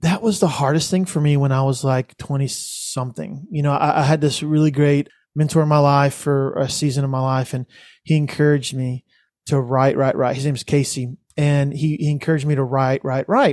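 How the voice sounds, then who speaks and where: At a fairly quick pace, a man with an American accent speaks at a fairly high pitch with fairly even intonation, in a very clean recording with a silent background. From Texas, Richmond-Rosenberg area near Houston. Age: 40s. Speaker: musician and church ministry leader. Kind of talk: casual interview chat. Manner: halting, repeats words.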